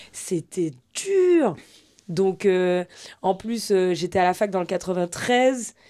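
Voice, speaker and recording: A woman's dark, mellow voice at medium pitch, very slow pace and ordinary pitch variation, long, frequent pauses, very clean recording, silent background. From Guadeloupe. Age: 30s. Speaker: sports journalist. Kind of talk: podcast interview, casual. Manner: casual, many hesitations.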